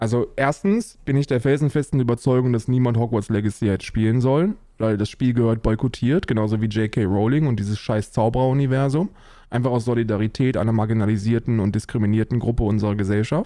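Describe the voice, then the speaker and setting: Against a quiet background, a man talks at a very fast pace with a dark, mellow tone, very even loudness and ordinary pitch variation. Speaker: livestreamer answering chat. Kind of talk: casual stream commentary. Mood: mocking, amused, opinionated. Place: home room.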